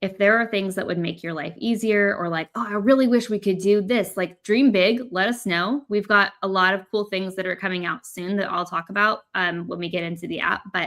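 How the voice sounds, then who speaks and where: In an American accent, a woman talks at a moderate pace. Her pitch is medium, with ordinary pitch variation. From United States. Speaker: product presenter for a creative app company. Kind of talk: webinar demo. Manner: loud; casual, lots of fillers.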